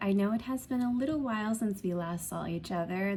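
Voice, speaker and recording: A soft-spoken voice at a moderate pace. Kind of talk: soft-spoken show and tell to camera. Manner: soft-spoken, relaxed.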